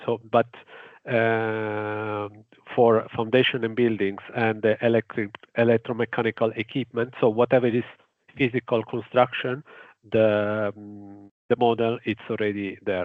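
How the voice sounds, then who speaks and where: A man with an Italian accent speaks at a fairly slow pace and medium pitch, his intonation monotone and flat. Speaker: engineer presenting a grid project. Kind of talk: webinar presentation. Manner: halting, many fillers.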